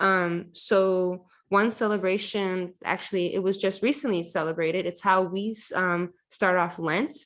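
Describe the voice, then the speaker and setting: Speaking with a Michigan accent at a fairly slow pace, the voice shows ordinary pitch variation and hardly any pauses. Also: woman, medium pitch for a woman. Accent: Michigan American English. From Southfield, Michigan, US. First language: Chaldean (Neo-Aramaic). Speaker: poet. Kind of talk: audience Q&A. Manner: hesitant, many fillers.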